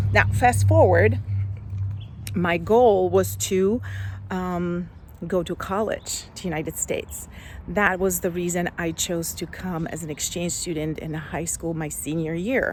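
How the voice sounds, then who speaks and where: The delivery is fairly slow. The speaker has a Slovak accent. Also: woman. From Slovakia. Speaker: life coach. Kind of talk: personal story vlog. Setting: outdoors.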